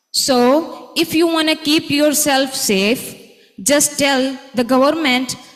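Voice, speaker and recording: With audible room echo, a woman speaks in a high voice with ordinary pitch variation. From Pakistan. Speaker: conference speaker. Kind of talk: conference presentation.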